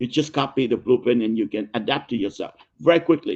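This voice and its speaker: A man with a Vietnamese accent, at a very fast pace. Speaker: business consultant and author. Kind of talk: interview. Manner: halting, many repetitions.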